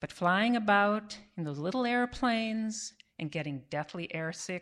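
Fairly slow delivery from a woman with a plain, everyday voice, lively intonation and a quiet background. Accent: American. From US Midwest (Cleveland, Ohio). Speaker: veterinarian, storyteller. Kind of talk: live storytelling. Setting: stage with audience.

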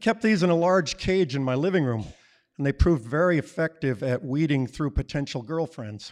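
An unremarkable speaking voice from a man with an American accent, fairly high in pitch, at a fairly quick pace with lively intonation. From Colorado. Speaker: storyteller, retiree. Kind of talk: live storytelling on stage. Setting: stage with audience.

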